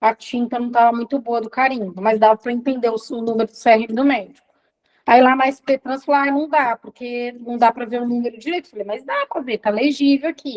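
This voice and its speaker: Speaking at a fairly quick pace, a woman uses a high pitch and fairly even intonation. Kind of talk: testimony.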